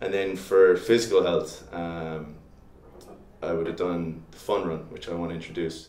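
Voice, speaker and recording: Audible room echo surrounds a man speaking with a Limerick accent. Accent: Irish (Limerick). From Ireland, Limerick. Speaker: student election candidate. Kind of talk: interview. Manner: halting, many fillers.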